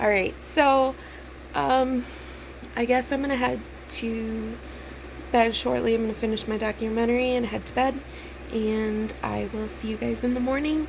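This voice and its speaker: The voice comes at a moderate pace through noticeable background noise and audible room echo. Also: woman. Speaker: vlogger. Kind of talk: personal vlog monologue. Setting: in bed at home. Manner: halting, many fillers.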